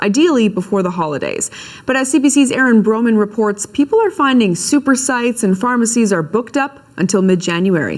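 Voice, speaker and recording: An unremarkable speaking voice moving at a fairly quick pace. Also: woman, fairly high pitch for a woman. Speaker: TV news anchor. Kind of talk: TV news read.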